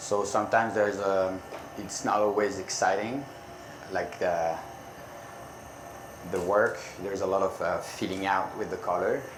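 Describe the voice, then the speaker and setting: Man with a French accent and fairly low pitch, monotone and flat, at a moderate pace with long, frequent pauses, audible room echo and noticeable background noise. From France. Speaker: glass artist. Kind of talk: live demonstration. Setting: conference demo stage with audience. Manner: halting.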